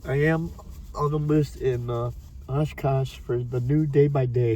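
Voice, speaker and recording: A man talks with fairly even intonation while noticeable background noise is heard. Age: 60s. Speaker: homeless man. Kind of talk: testimony.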